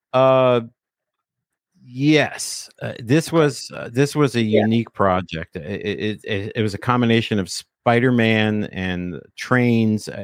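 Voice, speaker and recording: A man with a New Jersey accent speaks at a very slow pace in a medium pitch, on a very clean recording with a silent background. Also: ordinary pitch variation. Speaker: podcaster and former DJ. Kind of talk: casual chat.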